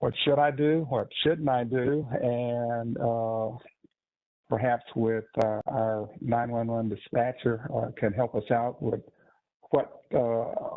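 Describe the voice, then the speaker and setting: The speech moves at a very slow pace. Its intonation is fairly even. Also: man, medium pitch for a man. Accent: American. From Texas. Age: 60s. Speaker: cardiologist. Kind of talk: webinar presentation. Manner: halting, many fillers.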